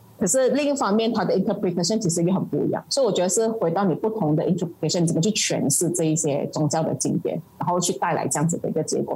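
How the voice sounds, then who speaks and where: A woman with a fairly low voice races along at a very fast pace, her loudness very even and her intonation lively. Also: hardly any pauses. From Malaysia. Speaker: political party committee member and activist. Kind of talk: interview. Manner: halting, many fillers.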